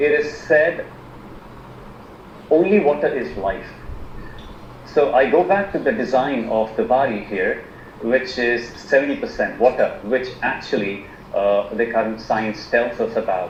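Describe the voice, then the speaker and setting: With an Indian accent, a man speaks at medium pitch and a fairly slow pace, his intonation lively and his long pauses frequent, over noticeable background noise. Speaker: alternative medicine practitioner. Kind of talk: online presentation. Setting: video call. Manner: halting, many fillers.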